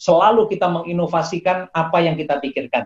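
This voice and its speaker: A man speaks in a high voice. The sound is dry and close, with no echo. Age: 60s. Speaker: professor and acupuncture doctor. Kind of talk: interview. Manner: halting, with frequent fillers.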